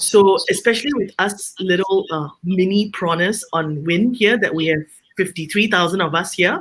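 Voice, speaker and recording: A woman speaks at a moderate pace. Her pitch is medium. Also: ordinary pitch variation. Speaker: home baker and small business owner. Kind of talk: panel discussion. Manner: loud; outspoken.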